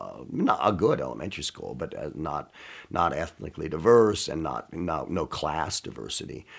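A man with a very deep, low pitch and vocal fry speaks at a moderate pace with lively intonation. His loudness swings a lot against a quiet background. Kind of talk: interview answer. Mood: warm, amused nostalgia. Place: studio.

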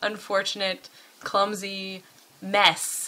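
Her tone is bright and sharp. The woman speaks at a very slow pace. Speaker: vlogger. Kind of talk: casual vlog chat. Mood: wry, laughing. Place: home room. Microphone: webcam.

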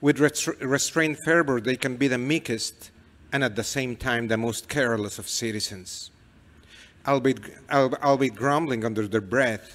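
A man with a Mexican accent speaks at a fairly slow pace with ordinary pitch variation. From Mexico. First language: Spanish. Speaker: novelist. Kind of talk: reading aloud and onstage interview. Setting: stage with audience. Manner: halting. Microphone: handheld.

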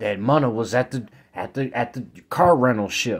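A man's medium-pitched voice with ordinary pitch variation against a quiet background. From Chicago. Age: 20s. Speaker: street vlogger. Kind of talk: rant. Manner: animated. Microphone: phone near.

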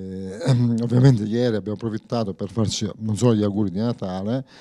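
A man with a dark, mellow tone and a fairly low pitch speaks with fairly even intonation against a quiet background. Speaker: local politician. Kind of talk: interview answer. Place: studio. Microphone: handheld.

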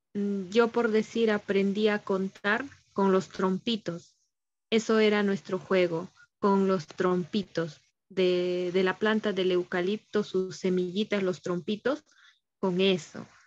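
A woman at a very slow pace, her loudness very even. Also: fairly even intonation. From Ancash, Peru. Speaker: student teacher. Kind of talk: class discussion. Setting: video call. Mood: nostalgic, warm. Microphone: video call.

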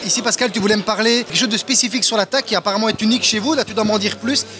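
With faint music in the background, a man speaks at a very fast pace in a high pitch with a bright, sharp tone and ordinary pitch variation.

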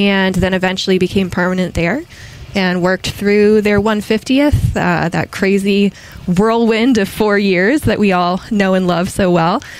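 A woman with an American accent speaks at a medium pitch and a moderate pace. Her pitch variation is ordinary, and there is noticeable background noise. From Massachusetts, near Boston. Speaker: historian. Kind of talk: casual interview.

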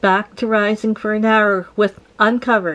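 Noticeable noise runs in the background. The voice is a woman's. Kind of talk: tutorial. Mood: cheerful, laughing. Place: kitchen. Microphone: camera far.

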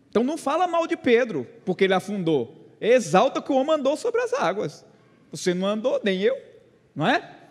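Over a quiet background, a man with an extremely high pitch and very wide pitch swings speaks at a moderate pace. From Brazil, Pernambuco sertão. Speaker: pastor. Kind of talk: sermon. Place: church. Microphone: handheld.

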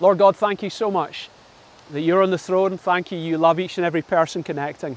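A man talks at a high pitch with ordinary pitch variation, and the sound is dry with no echo. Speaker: pastor. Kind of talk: sermon. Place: waterside. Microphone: lapel.

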